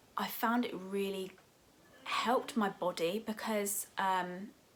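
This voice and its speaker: A woman talks in an English accent with fairly even intonation. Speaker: lifestyle YouTuber. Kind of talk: casual vlog talk to camera.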